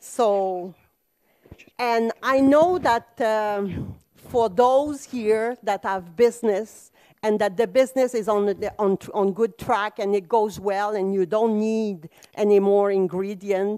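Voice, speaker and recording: Speaking very slowly with a non-native accent, a woman uses a fairly high pitch with ordinary variation, on a very clean recording with a silent background. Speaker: business founder, conference speaker. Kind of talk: conference talk. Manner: animated.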